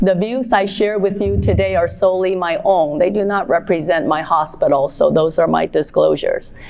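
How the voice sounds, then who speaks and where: A woman speaks at a moderate pace with very even loudness and hardly any pauses, over noticeable background noise. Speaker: pediatric ENT surgeon. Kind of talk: conference talk. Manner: lively, conversational.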